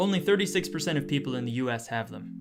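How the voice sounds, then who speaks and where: The speech moves at a very fast pace, with music in the background. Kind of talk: news narration.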